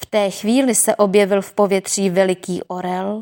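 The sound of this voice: The speaker uses an unforced reading voice. The intonation stays fairly even.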